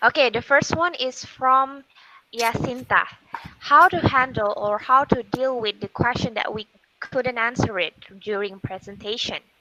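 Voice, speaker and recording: A woman with an Indonesian accent, high-pitched and fairly slow, with ordinary pitch variation and a dry, close sound free of echo. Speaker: moderator. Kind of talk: webinar moderation. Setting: video call.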